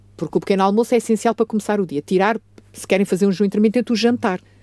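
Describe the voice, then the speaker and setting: Her tone is dark and mellow. The woman's voice sounds dry and close, with no echo. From Portugal. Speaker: family doctor. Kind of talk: radio health talk. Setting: radio studio.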